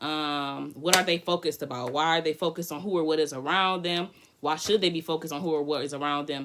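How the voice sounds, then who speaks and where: A woman talks at a very fast pace with a very deep, low pitch and an animated tone. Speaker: tarot reader. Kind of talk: live tarot reading. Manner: loud.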